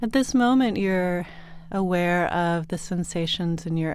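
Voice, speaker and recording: The recording is very clean, with a silent background. A woman speaks slowly-ish, fairly low in pitch, with an unremarkable speaking voice, ordinary pitch variation and a fairly slow pace. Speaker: meditation guide. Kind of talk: guided sleep meditation. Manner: soothing, slow, calm.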